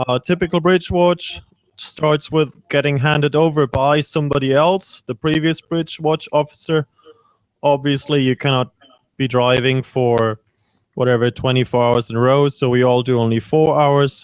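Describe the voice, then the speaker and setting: A man talks at a moderate pace in a fairly high pitch, with ordinary pitch variation. The sound is dry and close, with no echo. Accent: German. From Germany. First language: German. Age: 30s. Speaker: ship's chief officer. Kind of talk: interview Q&A with students.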